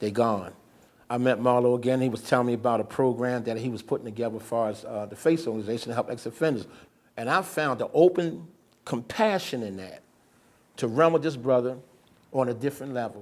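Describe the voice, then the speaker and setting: In an American accent, a man talks at a very fast pace with a medium pitch and ordinary pitch variation. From US, West Baltimore. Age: 60s. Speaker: ex-offender advocate. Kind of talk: interview testimony.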